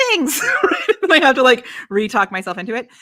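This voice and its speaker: Raising and projecting her voice, a woman talks fairly quickly at a high pitch with very wide pitch swings, the sound dry and close with no echo. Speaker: business coach for live video. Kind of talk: casual chat. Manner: fast.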